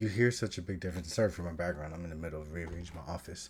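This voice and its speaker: Energetic in tone, a man speaks with a very deep, low pitch and ordinary pitch variation. His voice is somewhat breathy. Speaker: YouTube content creator and web show host. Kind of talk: tutorial. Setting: home office. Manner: casual, energetic.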